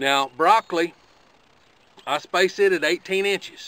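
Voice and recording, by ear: A man speaks at a high pitch at a slow pace. His tone is bright and sharp. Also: ordinary pitch variation.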